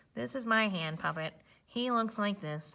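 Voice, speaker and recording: A put-on character voice at a moderate pace. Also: female-sounding voice, medium pitch for a woman. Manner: playful.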